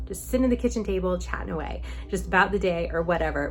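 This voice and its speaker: A woman talks at a very fast pace. There is audible room echo and noticeable background noise. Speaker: vlogger answering viewer questions. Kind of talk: casual Q&A vlog. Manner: chatty, informal.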